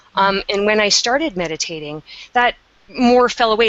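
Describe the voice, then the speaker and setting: Against noticeable background noise, a woman with a Canadian accent speaks at a medium pitch and a moderate pace. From Canada. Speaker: meditation teacher. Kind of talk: webinar interview.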